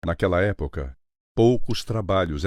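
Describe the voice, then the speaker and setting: A man at a moderate pace, ordinary pitch variation, over a quiet background. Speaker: voice actor. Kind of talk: documentary narration.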